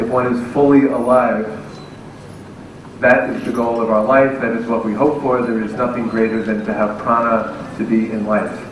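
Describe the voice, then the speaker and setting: Moderate-paced speech from a man with medium pitch, fairly even intonation and an American accent, amid noticeable background noise and audible room echo. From United States. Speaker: professor. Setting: stage with audience.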